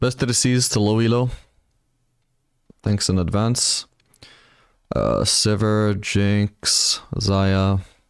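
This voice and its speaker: A man speaks at a fairly low pitch. His pace is very slow, with long, frequent pauses. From Spain (British parents). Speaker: video game streamer and coach. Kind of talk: live stream commentary answering chat. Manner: casual, conversational.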